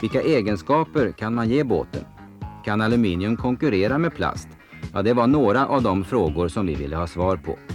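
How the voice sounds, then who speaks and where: Music plays in the background. Over it, a man talks at a moderate pace with lively intonation. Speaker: documentary voice-over narrator. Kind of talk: documentary slideshow narration.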